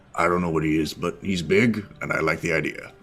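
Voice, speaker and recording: A man's raspy put-on character voice, very deep and low in pitch, at a fairly quick pace. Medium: actual play. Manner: blunt, curt.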